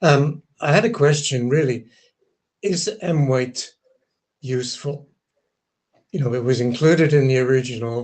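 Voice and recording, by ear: With audible room echo, a man talks at a moderate pace in a slightly mellow tone, medium pitch and fairly even intonation.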